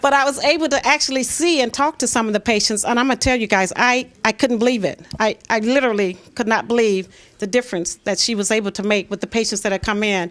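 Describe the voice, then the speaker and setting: A woman with an American accent speaks at a very fast pace, her fairly high voice moving with ordinary pitch variation. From Michigan. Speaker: co-author. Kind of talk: speech at book launch.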